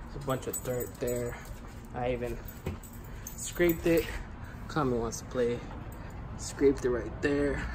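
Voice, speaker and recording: Noticeable background noise behind speech at a moderate pace. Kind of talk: casual vlog chat. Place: garage. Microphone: phone near.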